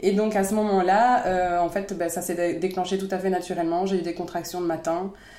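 A woman talks at a fairly quick pace with hardly any pauses, in a medium pitch and a monotone, flat intonation, with noticeable background noise and audible room echo. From France. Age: 30s. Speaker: mother of a child with a rare disease, founder of an inclusive playground. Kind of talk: interview, personal testimony.

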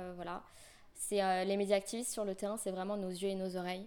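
The woman's tone is dark and mellow. Her pitch sits in the medium range. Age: 20s. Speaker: student activist volunteer. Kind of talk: interview. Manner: tense.

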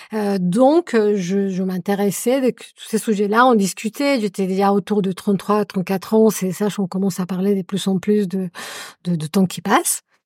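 Dry and close with no echo, a woman's medium-pitched voice moves at a fairly slow pace with fairly even intonation. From Colombia. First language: Spanish (speaking French). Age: 40s. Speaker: adoptive mother. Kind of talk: casual chat.

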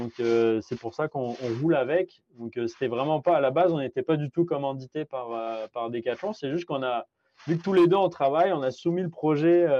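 A man with a fairly high voice and a dark, mellow tone speaks at a moderate pace with ordinary pitch variation, the sound dry and close with no echo. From France. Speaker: amateur ultra-distance cyclist and podcaster. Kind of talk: interview conversation. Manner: hesitant, many fillers and repetitions.

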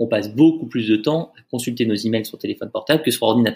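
A man speaks at a very fast pace and medium pitch. His voice is somewhat breathy. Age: 30s. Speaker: startup founder and CEO. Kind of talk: casual interview.

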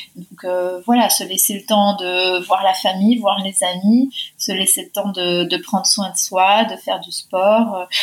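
A woman's very slow, somewhat breathy, medium-pitched delivery with monotone, flat intonation, hardly any pauses and big swings in loudness. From Argentina. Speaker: member of parliament. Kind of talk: interview. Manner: hesitant with fillers and repetitions.

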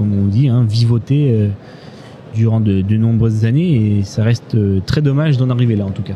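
A man speaks at a moderate pace with ordinary pitch variation while noticeable background noise carries on. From Corrèze, Limousin, France. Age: 20s. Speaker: farm worker. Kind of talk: interview. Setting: live at a trade fair. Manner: halting.

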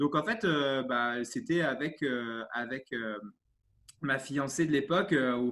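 At a very slow pace, a man with a fairly high pitch speaks on a very clean recording with a silent background. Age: 30s. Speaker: sports coach. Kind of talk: interview. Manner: animated; halting.

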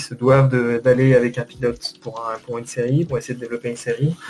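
A man speaks at a very fast pace with a medium pitch and a dark, mellow tone. His voice is somewhat breathy, and his intonation stays monotone and flat. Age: 30s. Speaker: 2D animator. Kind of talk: casual interview. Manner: halting.

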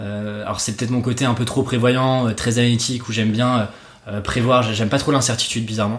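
A man's medium-pitched, flat, monotone delivery at a fairly quick pace, with audible room echo. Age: 20s. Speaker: copywriter and podcaster. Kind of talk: casual chat.

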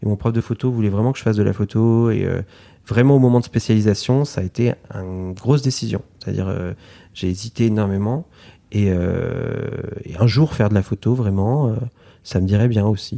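In a very clean recording with a silent background, a man with a fairly low pitch and a dark, mellow tone talks at a moderate pace with ordinary pitch variation. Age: 30s. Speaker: illustrator. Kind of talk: interview. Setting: artist's studio. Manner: hesitant with fillers.

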